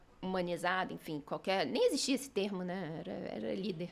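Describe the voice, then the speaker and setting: Lively, up-and-down speech from a woman over clearly audible background noise. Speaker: business executive. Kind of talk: interview.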